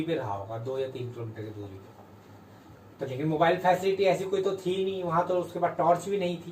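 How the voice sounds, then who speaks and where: A man speaks at a high pitch with lively intonation. Background noise is noticeable. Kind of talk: casual storytelling to camera.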